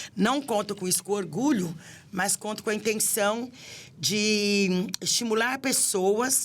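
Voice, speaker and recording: A woman speaks at a very slow pace in a fairly high pitch. Her pitch varies in an ordinary way. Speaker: city councillor and women's affairs official. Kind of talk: podcast interview.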